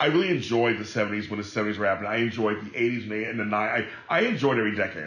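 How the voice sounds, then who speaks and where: Noticeable background noise sits behind this recording. A man talks at a very fast pace. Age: 40s. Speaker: entertainer and podcast host. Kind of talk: casual chat.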